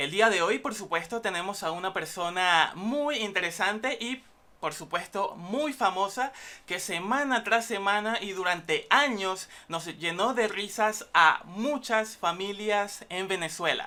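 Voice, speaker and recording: A woman with a bright, sharp tone speaks at a medium pitch and a fairly slow pace, her pitch varying in an ordinary way. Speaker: student broadcaster. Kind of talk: talk show host intro.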